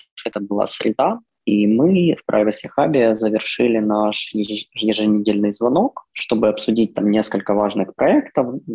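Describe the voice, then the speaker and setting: Speaking at a fairly slow pace, a man with a fairly low, dark, mellow voice uses ordinary pitch variation, and the sound is dry and close with no echo. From Ukraine. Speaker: bank privacy specialist. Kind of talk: remote interview.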